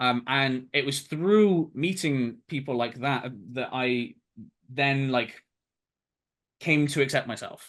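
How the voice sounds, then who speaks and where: A man talks at a very slow pace, leaving long, frequent pauses. The background is quiet. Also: fairly high pitch for a man, ordinary pitch variation. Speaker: game development student. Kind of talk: interview. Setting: webinar. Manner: halting.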